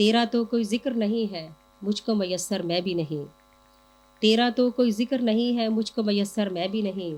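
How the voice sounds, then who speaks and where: Her pitch fairly high with ordinary pitch variation, a woman talks in an ordinary speaking voice. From Jaranwala, Pakistan. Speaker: poet. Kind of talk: poetry reading.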